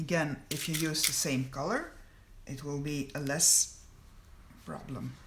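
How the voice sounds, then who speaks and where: Fairly slow speech in a Flemish accent, broken by long, frequent pauses. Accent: Belgian Dutch (Flemish) accent in English. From Belgium (Flanders). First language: Dutch. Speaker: sewing pattern designer. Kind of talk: tutorial. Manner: halting.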